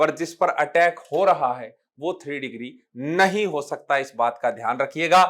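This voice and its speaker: Against a silent background in a very clean recording, a man talks at a high pitch. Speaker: chemistry teacher. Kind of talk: classroom lecture. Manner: Hindi-English code-mixed.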